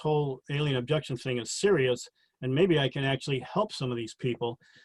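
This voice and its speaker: Somewhat breathy, a man speaks at a fairly quick pace in a fairly high pitch with fairly even intonation. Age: 60s. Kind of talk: interview about personal experiences.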